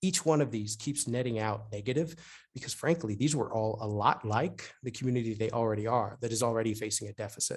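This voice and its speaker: Somewhat breathy speech races along at a very fast pace with ordinary pitch variation over a quiet background. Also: man, medium pitch for a man. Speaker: urban planning consultant. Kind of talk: webinar presentation. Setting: online webinar.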